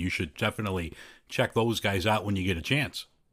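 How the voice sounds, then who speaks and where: A man speaks with a Chicago accent. His pitch is fairly low. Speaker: podcast host. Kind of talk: casual chat.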